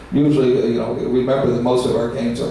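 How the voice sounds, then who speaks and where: A man's medium-pitched voice in a flat monotone, with audible room echo and noticeable background noise. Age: 70s. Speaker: pinball company executive. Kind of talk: panel Q&A. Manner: halting, many fillers and repetitions.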